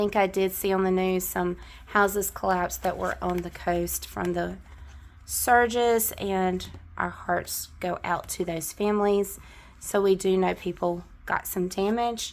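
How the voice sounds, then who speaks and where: A woman with a Southern US accent talks at a fairly slow pace. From US South. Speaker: budgeting vlogger. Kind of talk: casual chat. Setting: on camera at home.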